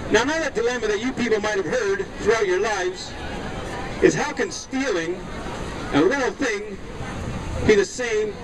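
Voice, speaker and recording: Over noticeable background noise, a man speaks with a high voice. He talks at a moderate pace with ordinary pitch variation. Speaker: street preacher. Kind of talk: open-air sermon. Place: beach.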